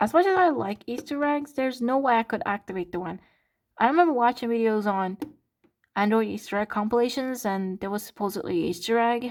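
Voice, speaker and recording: Against a silent background in a very clean recording, a woman speaks with a Turkish accent. Her pitch is fairly high, her pace fairly quick and her intonation lively. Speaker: content creator. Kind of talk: casual vlog. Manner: animated.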